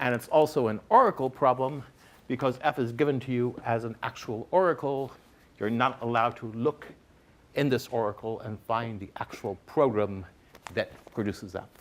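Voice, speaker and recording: A man talks in an ordinary speaking voice at medium pitch. His pace is moderate and his pitch variation ordinary. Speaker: lecturer. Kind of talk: lecture.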